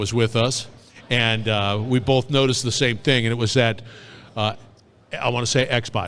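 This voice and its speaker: Noticeable background noise sits behind a man speaking at medium pitch and a moderate pace. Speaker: podcast host. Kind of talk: interview questions. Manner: excited.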